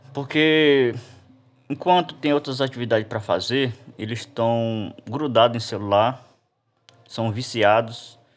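A man of medium pitch talks at a fairly slow pace, with ordinary pitch variation. Long pauses come often. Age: 30s. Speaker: interviewee. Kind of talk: interview answers.

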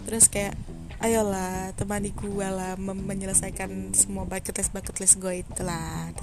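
A woman at a moderate pace amid audible room echo. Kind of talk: casual solo podcast monologue.

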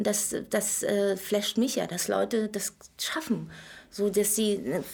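Speaking at a moderate pace, a woman has a normal speaking voice with a medium pitch and ordinary pitch variation. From Berlin, former East Germany. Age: 40s. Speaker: entrepreneur running daycare centres. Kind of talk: casual interview chat.

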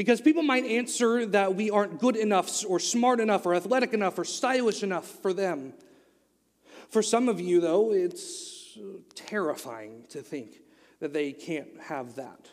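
In an American accent, a man speaks at a high pitch and a moderate pace. His intonation is lively. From Oklahoma, US. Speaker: youth pastor. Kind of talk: sermon. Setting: church.

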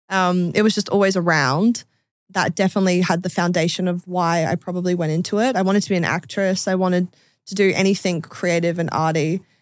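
Speaking very fast, a woman with an Australian accent keeps a fairly even intonation at a medium pitch. The recording is very clean with a silent background. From Adelaide, Australia. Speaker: singer-songwriter. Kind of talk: casual chat.

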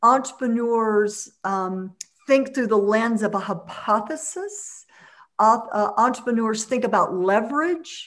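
An American woman with an ordinary speaking voice talks at a fairly slow pace in a fairly high pitch, with ordinary pitch variation and big swings in loudness. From US South, Mississippi. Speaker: entrepreneur and community leader. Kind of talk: interview.

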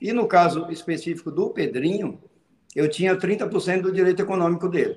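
With a high pitch and ordinary pitch variation, a man speaks at a fairly slow pace. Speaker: football agent. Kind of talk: casual chat.

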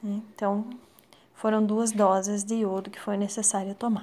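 A woman speaks with a fairly high pitch. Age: 30s. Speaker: thyroid cancer patient. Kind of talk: testimony.

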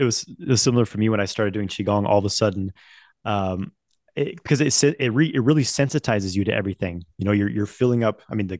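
In an American accent, the speaker talks very fast against a quiet background. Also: man, dry, close sound with no echo. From Idaho, US. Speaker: men's coach, teacher of energy practices. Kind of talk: interview conversation.

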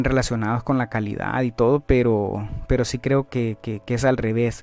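A man speaks at a medium pitch and moderate pace with fairly even intonation and a dark, mellow tone, in a very clean recording with a silent background. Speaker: finance podcast host. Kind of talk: educational monologue. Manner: hesitant, many filler sounds.

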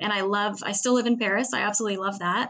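A woman's plain, everyday voice at medium pitch, with an American accent. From US Pacific Northwest, Seattle. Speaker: travel entrepreneur. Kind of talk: interview.

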